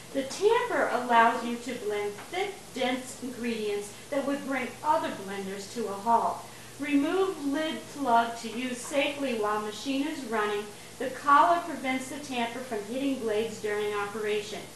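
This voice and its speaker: Over light background noise and audible room echo, a woman talks in a high voice with ordinary pitch variation at a moderate pace. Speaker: home cook demonstrating a blender. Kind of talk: tutorial. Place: kitchen. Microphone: camera far.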